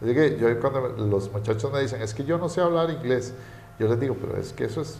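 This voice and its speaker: This is a man speaking. Audible room echo and noticeable background noise surround his voice. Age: 40s. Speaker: economist. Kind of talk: interview. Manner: hesitant, many fillers.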